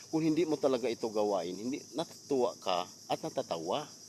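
Lively intonation in a normal speaking voice, at a moderate pace. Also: man. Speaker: vlogger. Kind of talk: storytime vlog rant, preachy moral appeal. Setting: outdoors. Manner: earnest, scolding, hectic, fillers.

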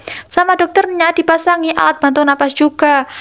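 A woman's extremely high-pitched voice at a fairly quick pace, over a quiet background. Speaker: film recap narrator. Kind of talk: dramatic narration. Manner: animated, suspense-building storytelling pace; casual, addressing viewers as 'guys'. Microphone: lapel.

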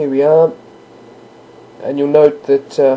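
Someone with an Australian accent speaks at a moderate pace over noticeable background noise. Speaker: gamer. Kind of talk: gameplay tutorial narration. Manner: casual, hesitant.

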